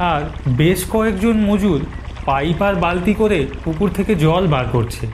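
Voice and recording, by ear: The intonation is lively and the pace fairly slow. Strong echo fills the room. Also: man, high pitch for a man.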